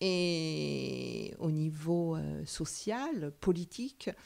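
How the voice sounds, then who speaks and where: This woman's voice sits fairly low in pitch. Her tone is dark and mellow. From France, Paris suburbs (Sarcelles). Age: 60s. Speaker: psychoanalyst. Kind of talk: interview. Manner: hesitant with many fillers.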